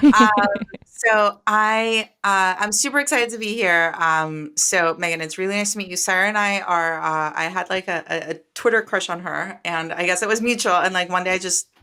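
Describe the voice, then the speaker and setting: The tone of this woman's voice is bright and sharp. Her pitch is medium. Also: ordinary pitch variation, moderate pace. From Costa Rica. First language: Spanish. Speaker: startup founder and venture capitalist. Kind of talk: interview. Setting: video call.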